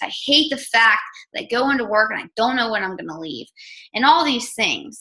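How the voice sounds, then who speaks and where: With an American accent, a woman speaks in an animated tone at a fairly high pitch with ordinary pitch variation. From Maryland, US. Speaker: online health coach and news reporter. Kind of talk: team call talk. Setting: conference call. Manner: fast.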